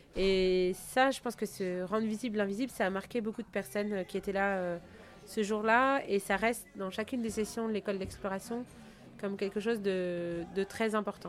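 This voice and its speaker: A woman with a medium pitch speaks moderately fast, her intonation fairly even. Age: 40s. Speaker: founder of an ocean exploration school. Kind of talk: interview. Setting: on location near Saint-Malo. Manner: halting, many fillers and repetitions.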